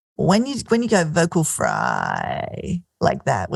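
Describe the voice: A man puts on a character voice that is guttural and creaky. He delivers it at a fairly slow pace.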